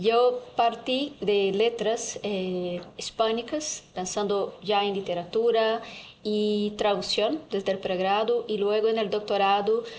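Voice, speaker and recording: A woman with a Portuguese accent speaks at a very slow pace in a fairly high pitch. Her intonation stays fairly even, and audible room echo surrounds her. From Brazil. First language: Portuguese (speaking Spanish). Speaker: translation professor. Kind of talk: panel discussion. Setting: university auditorium.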